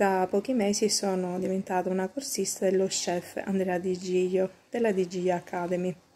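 A woman talks at a moderate pace in a dark, mellow tone. Her intonation stays fairly even. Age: 40s. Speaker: homemaker, online pastry course student. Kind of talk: testimonial. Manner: hesitant, many fillers. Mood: warm, satisfied. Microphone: phone near.

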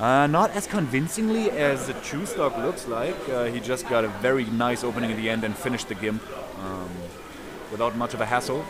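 Over noticeable background noise and audible room echo, a man with a medium pitch talks at a fairly quick pace with lively intonation. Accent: German. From Germany, Berlin. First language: German. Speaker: esports commentator. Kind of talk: live commentary. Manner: animated.

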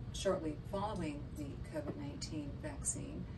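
With music in the background, a woman speaks. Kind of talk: lecture. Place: office.

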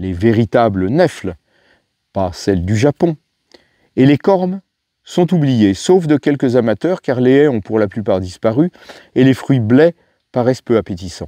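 A man with a medium pitch and a dark, mellow tone speaks at a fairly slow pace with long, frequent pauses. His pitch swings very widely, and the sound is dry and close with no echo. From France (Paris, then Beauce). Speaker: wild plant expert and author. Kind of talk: reading aloud of memoir.

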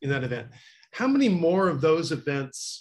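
A somewhat breathy voice speaks at a moderate pace against a quiet background. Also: man. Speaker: audience member asking questions; audience member. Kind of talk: Q&A question. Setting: video call. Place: home room. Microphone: webcam.

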